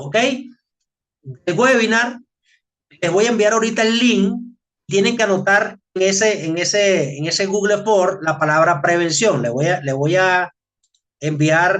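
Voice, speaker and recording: A man at a very slow pace, high-pitched, with lively intonation. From Venezuela. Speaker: occupational safety trainer. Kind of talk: webinar presentation. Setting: online webinar. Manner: casual, repetitive with filler words.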